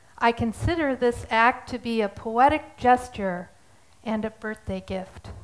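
A woman speaks with a fairly high pitch. Her pace is very slow. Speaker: artist. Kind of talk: prepared statement in court. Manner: halting. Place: stage. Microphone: headset.

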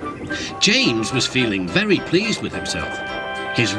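The words are read aloud in a natural voice.

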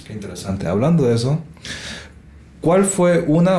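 Amid audible room echo, a man speaks in a somewhat breathy voice with a dark, mellow tone. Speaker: podcast host, musician and mastering engineer. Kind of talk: casual interview.

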